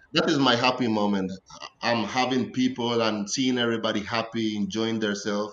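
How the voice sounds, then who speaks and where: Amid noticeable background noise, a man of medium pitch talks at a fairly quick pace with very even loudness and fairly even intonation. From Costa Rica, Caribbean coast (Limón). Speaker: professional soccer player. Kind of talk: podcast interview.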